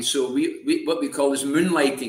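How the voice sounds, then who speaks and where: In a Glaswegian accent, a man speaks with monotone, flat intonation, and audible room echo surrounds him. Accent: Glaswegian Scottish. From Scotland, Glasgow. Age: 70s. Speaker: former prisoner, ex-smuggler. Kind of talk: interview storytelling.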